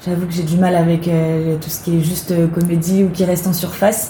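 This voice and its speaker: A woman's fairly low voice at a fairly quick pace. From western France, near Nantes (Loire-Atlantique). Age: 20s. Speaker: actress and theatre director. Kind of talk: interview. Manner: hesitant, many fillers.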